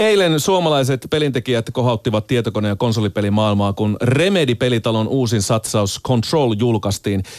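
A man's medium-pitched voice with hardly any pauses, very even loudness, and a dry, close sound without echo, plus noticeable background noise. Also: lively intonation, moderate pace. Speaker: radio host. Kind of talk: radio interview. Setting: studio.

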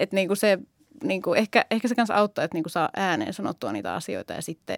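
A woman with vocal fry at a fairly quick pace, dry and close with no echo, on a very clean recording with a silent background. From Finland, Oulu. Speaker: primary school teacher. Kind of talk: casual chat.

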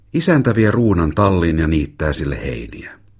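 Vocal fry colors this man's voice. His tone is warm. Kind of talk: audiobook reading of a memoir, narrated in a child's first-person voice.

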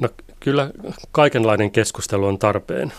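A plain, everyday voice at a moderate pace on a very clean recording with a silent background. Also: man. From Finland, Pori. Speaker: migration researcher. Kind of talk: radio interview.

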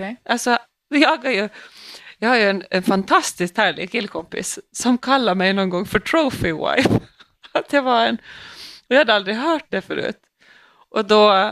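At a moderate pace, a woman with a fairly high pitch speaks with lively intonation, big swings in loudness and long, frequent pauses, in a dry, close sound with no echo. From Åland. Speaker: police officer and podcast co-host. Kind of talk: casual chat.

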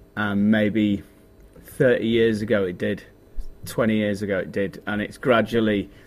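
A man with a Yorkshire accent, a fairly low pitch and fairly even intonation. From northern England, Yorkshire (Leeds area). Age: 40s. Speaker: DJ and music producer. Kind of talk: interview.

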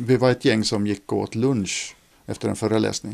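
A man speaks with a dark, mellow tone. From Finland, Ostrobothnia (Nykarleby). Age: 40s. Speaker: author. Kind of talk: casual conversation. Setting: in a private home. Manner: halting, repeats words.

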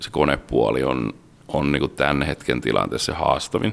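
This man's pitch sits very deep and low. He talks at a moderate pace. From Finland, Rauma. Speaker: maritime automation engineer. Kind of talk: interview.

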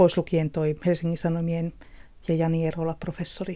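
A woman's fairly low, dark, mellow voice at a moderate pace. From southeastern Finland, Kotka. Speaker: social scientist and author. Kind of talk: radio panel discussion.

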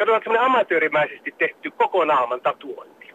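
Lively intonation at a fairly quick pace. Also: man. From Finland, Central Finland. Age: 60s. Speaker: caller. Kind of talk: phone-in discussion.

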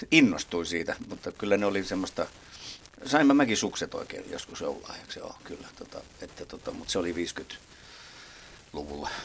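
A man's voice at a moderate pace, with big swings in loudness and noticeable background noise. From Helsinki, Finland. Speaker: drummer. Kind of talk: interview.

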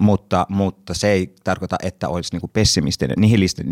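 A man talks at a moderate pace with a very deep, low pitch, vocal fry and ordinary pitch variation. The recording is very clean with a silent background and a dry, close sound with no echo. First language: Swedish (speaking Finnish). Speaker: actor and podcast moderator. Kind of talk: casual panel discussion. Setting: studio.

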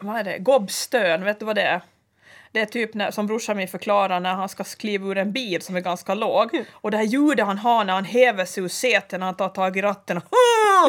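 A woman speaks at a moderate pace with a medium pitch and ordinary pitch variation in an unremarkable speaking voice. The recording is very clean, with a silent background. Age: 40s. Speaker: podcast co-host. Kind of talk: casual chat. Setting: studio.

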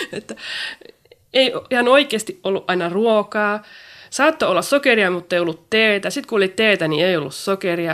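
A woman's unremarkable speaking voice at medium pitch, moderate pace and lively intonation. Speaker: poet and writer. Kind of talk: interview.

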